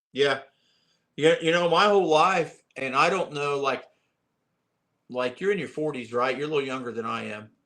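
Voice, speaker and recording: A man with an American accent and a bright, sharp tone, his speech marked by long, frequent pauses. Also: fairly high pitch for a man, ordinary pitch variation, moderate pace. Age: 60s. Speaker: lure maker and bass angler. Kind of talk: casual chat.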